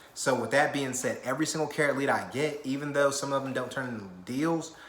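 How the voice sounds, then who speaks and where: An animated man talks over noticeable background noise, with audible echo in the room. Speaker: real estate investor and vlogger. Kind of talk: casual vlog talk. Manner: fast.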